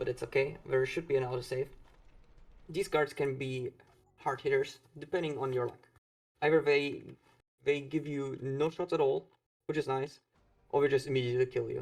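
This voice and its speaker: A quiet man's voice, fairly high in pitch, with monotone, flat intonation, a moderate pace and long, frequent pauses. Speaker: speedrunner. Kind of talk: live gameplay commentary.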